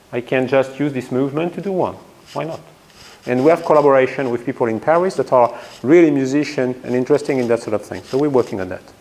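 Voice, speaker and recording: This man talks very fast in a French accent. His pitch is medium and his pitch variation ordinary. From France. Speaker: physics professor. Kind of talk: lecture.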